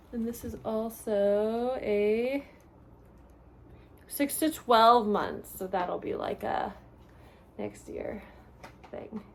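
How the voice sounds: Vocal fry at a very slow pace, with long, frequent pauses and ordinary pitch variation. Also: woman, fairly high pitch for a woman.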